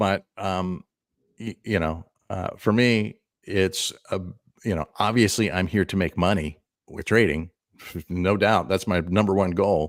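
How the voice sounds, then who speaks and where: A man with a very deep, low voice speaks at a fairly slow pace with long, frequent pauses and fairly even intonation, in a very clean recording with a silent background and a dry, close sound with no echo. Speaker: crypto trader and chart analyst. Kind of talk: panel discussion. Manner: halting.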